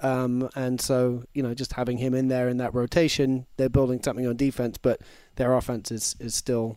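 A man with an English accent, medium pitch and a fairly quick pace. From England. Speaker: football analyst. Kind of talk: casual chat. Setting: studio.

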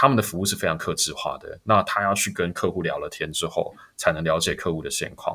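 At a fairly quick pace, a man speaks with a slight Taiwanese accent. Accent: Taiwanese Mandarin, slightly off. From Taiwan (born Hong Kong). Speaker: startup co-founder and COO. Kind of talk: interview. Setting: remote online recording.

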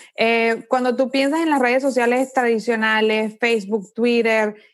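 A woman speaks with a high pitch. The background is quiet. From Venezuela. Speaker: startup founder and architect. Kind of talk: interview.

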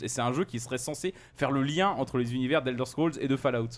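Over a silent background in a very clean recording, a man uses a normal speaking voice at a fairly quick pace with lively intonation. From France, Loire region. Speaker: games journalist. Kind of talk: casual chat.

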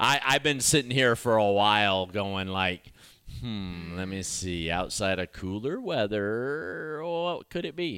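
At a fairly slow pace, the voice carries lively intonation and a bright, sharp tone on a very clean recording with a silent background. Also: man, fairly low pitch for a man. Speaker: podcast co-host. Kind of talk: casual chat.

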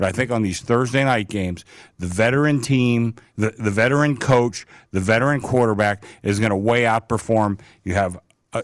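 On a very clean recording with a silent background, a man with an ordinary speaking voice talks at a moderate pace in a medium pitch with ordinary pitch variation. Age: 60s. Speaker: sportsbook manager. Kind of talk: casual sports talk.

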